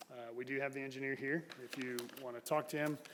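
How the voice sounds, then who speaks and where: A man is speaking. He has an American accent. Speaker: city staff member presenting agenda item. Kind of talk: council meeting staff report. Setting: city council chamber. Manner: loud.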